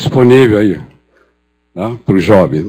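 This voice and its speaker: A man speaks at a fairly low pitch with a dark, mellow tone. His intonation is lively and his pace moderate. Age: 70s. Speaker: psychiatrist and professor. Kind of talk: conference talk. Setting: stage with audience. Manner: hesitant, with repetitions.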